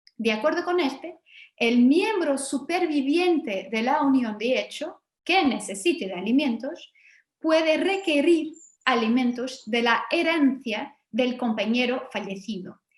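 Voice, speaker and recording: A woman speaks at a fairly slow pace in a high voice with lively intonation and a slight Portuguese accent. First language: Portuguese (speaking Spanish). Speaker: law professor. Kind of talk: academic lecture.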